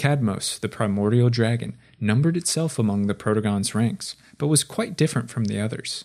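Against a silent background in a very clean recording, a man delivers his lines in a dramatic tone at a moderate pace, with a medium pitch and ordinary pitch variation. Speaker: lore video narrator. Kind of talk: scripted fantasy lore narration. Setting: video voiceover. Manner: dramatic, formal, measured storyteller delivery.

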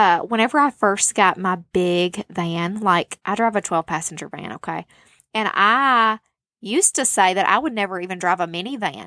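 Recorded dry and close with no echo against a silent background, a woman with a medium-pitched, bright, sharp voice talks in an animated tone at a moderate pace with ordinary pitch variation. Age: 30s. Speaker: podcast host. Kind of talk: casual monologue.

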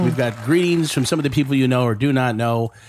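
Crowd noise fills the background as a man speaks with ordinary pitch variation. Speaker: podcast host. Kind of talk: casual chat. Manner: animated.

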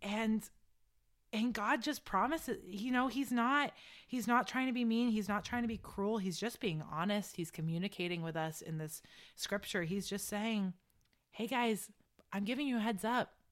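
In a very clean recording with a silent background, a woman with a normal speaking voice talks at a moderate pace, her fairly high pitch showing ordinary pitch variation. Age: 20s. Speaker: university student. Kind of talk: casual chat.

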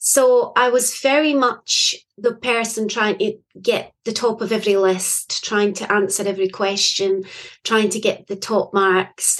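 Speaking with a Scottish accent, a woman uses a fairly high pitch, fairly even intonation and a fairly slow pace. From Scotland. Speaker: poet and author. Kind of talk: interview conversation.

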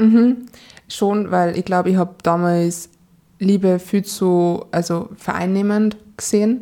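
At a very slow pace and a medium pitch, a woman with a Salzburg accent speaks in a dark, mellow tone, her intonation fairly even and her loudness very even. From Austria, Salzburg. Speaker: dating podcast guest, single. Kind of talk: casual interview chat. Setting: studio, in person.

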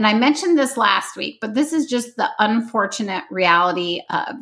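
A woman with an American accent speaks at a moderate pace in an unremarkable speaking voice, fairly high in pitch. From US Midwest. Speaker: podcast host, home design blogger. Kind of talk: solo podcast tutorial.

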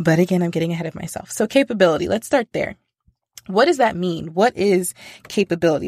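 Speaking at a very fast pace in an American accent, a woman with a fairly low pitch uses an animated tone and ordinary pitch variation, recorded with a dry, close sound and no echo. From United States. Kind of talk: solo faith podcast monologue.

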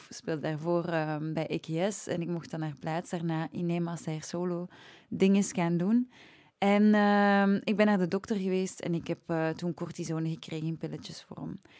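In a very clean recording with a silent background, a woman speaks at a moderate pace with a dark, mellow tone, a fairly low pitch and ordinary pitch variation. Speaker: singer, singing teacher and voice-over. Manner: chatty, informal.

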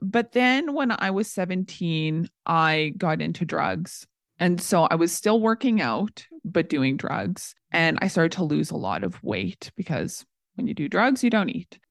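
A woman's fairly low, fairly slow voice with vocal fry and lively intonation, in a Canadian accent, with a dry, close sound, no echo and a quiet background. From Canada, small-town Saskatchewan. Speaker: psychology student and former personal trainer. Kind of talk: casual interview.

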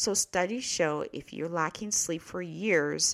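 A woman with a plain, everyday voice and a fairly low pitch speaks at a fairly slow pace on a very clean recording with a silent background. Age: 40s. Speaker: podcast host and nurse. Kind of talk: casual monologue.

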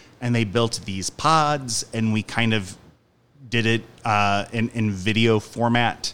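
At a fairly slow pace, a man with a Midwestern American accent and a medium-pitched voice speaks with ordinary pitch variation. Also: very clean recording, silent background. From US Midwest (Union, Missouri). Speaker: stage actor and director. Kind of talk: interview.

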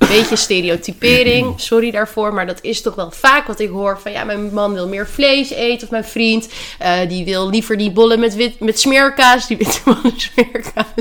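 With noticeable background noise around her, the woman's voice sits fairly high in pitch. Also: ordinary pitch variation, moderate pace. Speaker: dietitian and podcast host. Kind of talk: casual chat. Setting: at home in quarantine.

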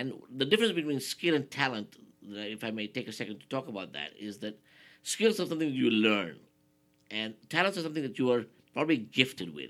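A man talks at a very fast pace, with vocal fry. His pitch swings very widely and his loudness shifts a lot. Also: medium pitch for a man. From Nigeria. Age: 50s. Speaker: motivational speaker. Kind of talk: interview.

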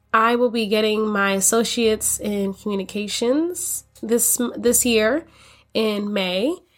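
In a normal speaking voice, a woman with an American accent and a fairly high pitch talks at a fairly slow pace with ordinary pitch variation, on a very clean recording with a silent background. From US Florida. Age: 20s. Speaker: podcast host, college student and daycare teacher. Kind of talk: casual podcast intro. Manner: upbeat, chatty.

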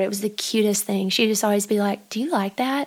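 This voice belongs to a woman with a fairly high pitch. Her intonation stays fairly even. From Arkansas. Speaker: musician and counselor, co-host friend. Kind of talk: casual chat.

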